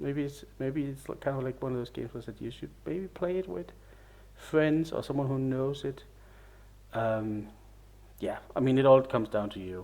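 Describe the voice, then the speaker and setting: A man mumbling at a medium pitch and moderate pace, with ordinary pitch variation and long, frequent pauses. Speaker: video game reviewer. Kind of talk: casual game review monologue. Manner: halting, hesitant.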